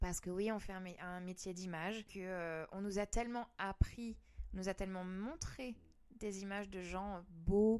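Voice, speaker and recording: A woman with a normal speaking voice talks at a moderate pace, her medium pitch carried by fairly even intonation. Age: 30s. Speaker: singer. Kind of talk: casual chat.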